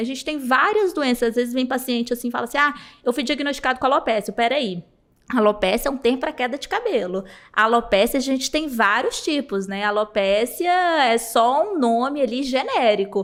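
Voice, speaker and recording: Here a woman speaks at a fairly quick pace. Her pitch is high. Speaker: hair transplant doctor. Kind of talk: podcast interview answer. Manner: friendly, warm.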